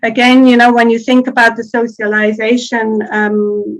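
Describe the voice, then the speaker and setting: A woman speaks with a Swiss German accent at a fairly high pitch. Her intonation is fairly even and her pace moderate. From Switzerland (Swiss German speaking). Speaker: academic linguist. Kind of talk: conference Q&A. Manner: hesitant, with fillers.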